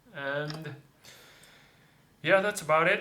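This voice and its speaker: The man speaks at a fairly slow pace. Audible room echo surrounds his voice. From Japan, Tokyo. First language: Japanese. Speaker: English teacher. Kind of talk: casual chat. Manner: halting.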